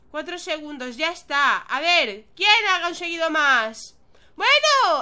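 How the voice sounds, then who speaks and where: Speaking fairly slowly, a woman uses a raised, projected voice with a bright, sharp tone. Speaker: gaming youtuber. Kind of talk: gameplay commentary. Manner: animated.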